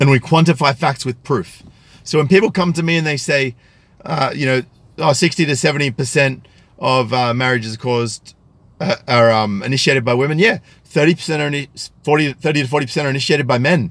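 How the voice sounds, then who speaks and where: This man talks at a very fast pace. His pitch is fairly high. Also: ordinary pitch variation. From Australia, country New South Wales. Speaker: YouTube commentator. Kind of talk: live stream commentary with chat. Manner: articulate, careful pronunciation; hesitant with fillers.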